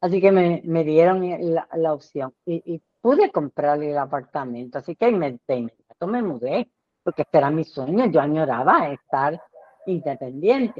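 A woman's very deep, low voice, full of lively intonation, at a fairly slow pace. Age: 80s+. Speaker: retired teacher, condo board member. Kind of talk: casual chat.

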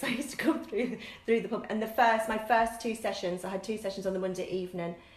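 Amid audible room echo, a woman with a northern English accent talks at a very fast pace in a fairly high pitch with fairly even intonation. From northern England. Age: 40s. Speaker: fitness instructor. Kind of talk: casual chat.

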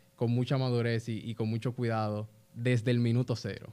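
A man at medium pitch. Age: 20s. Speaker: young business founder. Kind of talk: casual interview chat.

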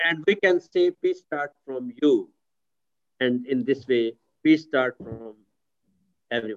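A man speaks at a very slow pace, with long, frequent pauses and lively intonation. His pitch is fairly high, and the sound is dry and close with no echo. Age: 60s. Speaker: pastor and chaplain. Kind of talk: video call discussion. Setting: video call.

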